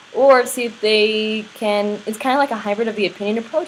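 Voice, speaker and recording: Over noticeable background noise, a woman with a fairly high pitch speaks in a monotone, flat intonation. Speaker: network marketing business trainer. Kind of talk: tutorial.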